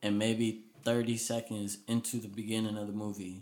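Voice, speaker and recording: With a fairly low pitch, this man delivers his words in a flat, monotone way. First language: Spanish. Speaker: podcast co-host. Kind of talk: casual chat.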